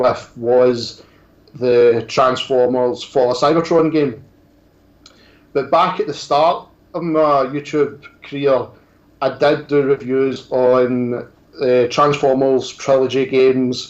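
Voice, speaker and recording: A man with a strong Scottish accent, medium in pitch, monotone and flat, at a fairly slow pace. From Scotland. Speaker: toy reviewer and YouTuber. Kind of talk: casual interview chat.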